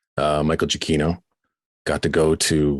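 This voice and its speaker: A man with a Canadian accent at a very deep, low pitch and moderate pace, in a dry, close sound with no echo. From Southern Ontario, Canada. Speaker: radio host. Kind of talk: casual chat. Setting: video call. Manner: animated.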